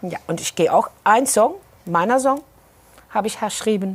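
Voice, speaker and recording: There's lively intonation in this woman's voice. She speaks at a moderate pace. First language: Dutch (Maastricht dialect) (speaking German). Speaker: singer. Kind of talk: interview.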